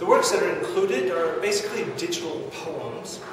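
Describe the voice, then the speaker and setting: A man at a moderate pace, amid noticeable background noise and strong room echo. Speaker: digital poet. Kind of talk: informal talk to camera. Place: office. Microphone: camera far.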